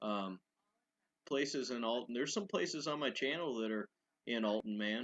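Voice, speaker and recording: The sound is dry and close with no echo, and the pace is moderate. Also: man. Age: 30s. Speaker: urban explorer YouTuber. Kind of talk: live stream Q&A chat. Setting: live stream. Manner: monotone; hesitant, many fillers.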